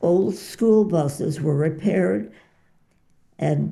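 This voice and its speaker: A woman, somewhat breathy and fairly low-pitched, with a dark, mellow tone, at a very slow pace. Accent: American. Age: 90s. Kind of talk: interview answer.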